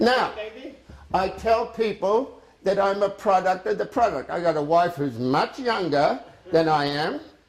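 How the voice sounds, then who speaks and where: The speaker has an animated tone and lively intonation at a fairly slow pace. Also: man, high pitch for a man. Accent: Australian. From Australia. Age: 70s. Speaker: cooking demonstrator. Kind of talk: sales pitch.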